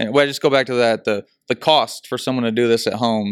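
A man with an ordinary speaking voice talks at medium pitch with fairly even intonation, the sound dry and close with no echo on a very clean recording with a silent background. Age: 30s. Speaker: business owner. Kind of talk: interview.

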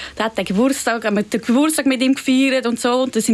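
A woman with a high pitch and ordinary pitch variation speaks against noticeable background noise. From Zurich, Switzerland. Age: young. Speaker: pop-art painter. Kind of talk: interview. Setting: studio.

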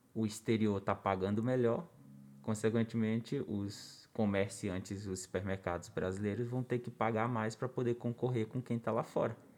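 A man with an ordinary speaking voice, medium pitch, ordinary pitch variation and moderate pace, on a very clean recording with a silent background. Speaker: podcast co-host. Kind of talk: casual chat.

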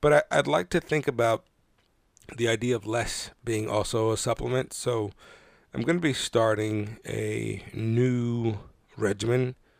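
On a very clean recording with a silent background and a dry, close sound with no echo, a man speaks fairly slowly at a medium pitch with ordinary pitch variation. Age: 30s. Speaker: podcast host. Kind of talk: solo monologue. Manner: halting, many fillers.

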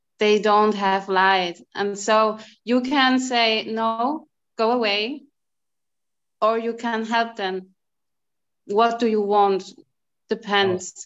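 Speaking very slowly with long, frequent pauses, a woman with a German accent keeps a fairly high pitch and fairly even intonation. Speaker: energy reader. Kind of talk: group discussion. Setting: video call.

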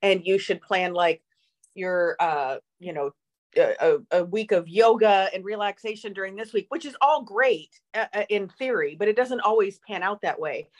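At a moderate pace, a woman talks in a normal speaking voice of medium pitch with ordinary pitch variation, and the sound is dry and close with no echo. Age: 40s. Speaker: podcast co-host. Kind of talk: casual chat. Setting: video call.

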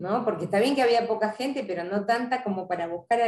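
She talks at a very fast pace, a woman's voice. Her pitch shows ordinary variation. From Argentina, Buenos Aires area (Avellaneda). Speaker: sport psychologist. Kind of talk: interview. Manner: hesitant, many fillers and repetitions.

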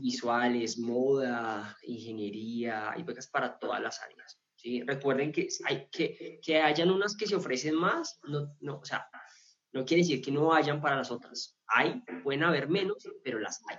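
A man with a fairly high pitch speaks at a very slow pace. His intonation is lively, with big swings in loudness. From Colombia. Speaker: scholarship consultant. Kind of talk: interview.

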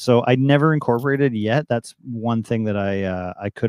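A man with a Canadian accent has a plain, everyday voice, medium in pitch and with ordinary pitch variation. The sound is dry and close with no echo, over a quiet background. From Canada, Toronto. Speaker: DJ. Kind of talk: interview.

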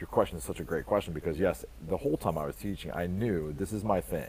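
A man with an American accent speaks at a fairly quick pace in a very deep, low voice, his tone dark and mellow with vocal fry. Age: 40s. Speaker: school leader and author. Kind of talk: interview.

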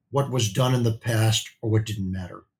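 This man has an American accent and a somewhat breathy voice. His pitch varies an ordinary amount, and the recording is very clean with a silent background. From US Midwest. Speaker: beauty industry executive. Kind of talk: interview.

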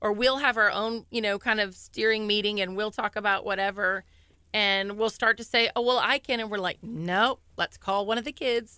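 In a dry, close recording with no echo, a woman with an American accent talks at a moderate pace in a bright, sharp tone, her intonation fairly even. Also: very clean recording, silent background. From Texas. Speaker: junior high school principal. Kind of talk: radio interview.

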